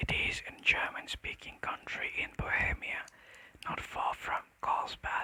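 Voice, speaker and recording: The speaker is whispering. Every word comes at a very slow pace. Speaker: ASMR creator. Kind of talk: audiobook-style reading of classic fiction. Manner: soft, whispered.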